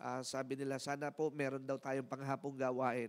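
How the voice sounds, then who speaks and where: A man speaks at a moderate pace. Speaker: church pastor or service leader. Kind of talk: church announcements and closing blessing; church announcements and sermon talk. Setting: church. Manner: warm, upbeat, leading praise. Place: church. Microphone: handheld.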